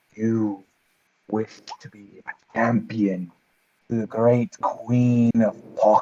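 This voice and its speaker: Using a put-on character voice, a man speaks at medium pitch at a very slow pace with long, frequent pauses. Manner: eerie.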